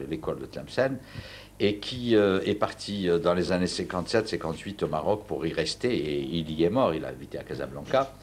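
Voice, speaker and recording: With vocal fry and very deep, low pitch, a man talks at a moderate pace using lively intonation. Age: 60s. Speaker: university professor and Andalusian music specialist. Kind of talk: TV interview. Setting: at home. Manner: halting, many repetitions.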